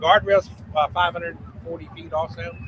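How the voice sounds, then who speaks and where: A man's voice with noticeable background noise. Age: 60s. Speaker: mud racing track promoter. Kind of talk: casual interview chat.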